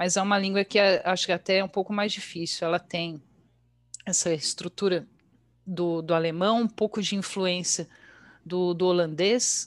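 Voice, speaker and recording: A woman speaks at a moderate pace with long, frequent pauses. Her voice sits at a medium pitch, and her intonation stays fairly even. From Brazil, Bragança Paulista (São Paulo state). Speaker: English teacher and translator. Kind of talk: casual interview.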